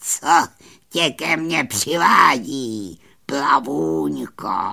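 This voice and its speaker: A raspy, put-on character voice. It sits at a low-to-middle pitch. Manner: drawling, menacing.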